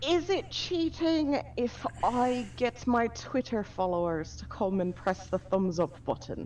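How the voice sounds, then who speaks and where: A woman with an Irish accent speaks at a very slow pace in a fairly high pitch, her voice swinging very widely up and down with hardly any pauses. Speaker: vtuber. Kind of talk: casual chat.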